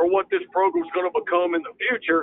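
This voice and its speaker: A man with a Mississippi accent speaks at a fairly quick pace, his pitch varying in an ordinary way. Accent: Southern US, rural Mississippi. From Mississippi, US South. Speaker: college football head coach. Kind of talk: interview.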